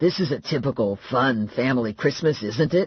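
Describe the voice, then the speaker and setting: Using a raspy, put-on character voice, a man speaks at a moderate pace with medium pitch and lively intonation. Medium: read story. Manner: nervous, stammering.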